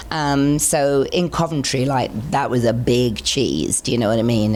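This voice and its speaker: A woman's voice with lively intonation against noticeable background noise. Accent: English. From England. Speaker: singer. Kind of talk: interview answer.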